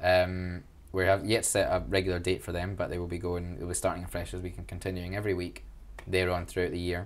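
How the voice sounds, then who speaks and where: In a Glaswegian accent, a man with a very deep, low pitch speaks at a fairly quick pace. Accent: Glaswegian Scottish. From Scotland, Glasgow. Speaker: student union officer. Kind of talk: interview. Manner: animated.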